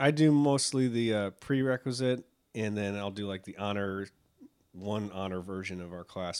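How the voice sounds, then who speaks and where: This man has a plain, everyday voice, fairly low in pitch with ordinary pitch variation and an American accent. The recording is very clean, with a silent background. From Buffalo, New York. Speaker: teacher. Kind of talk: casual interview chat.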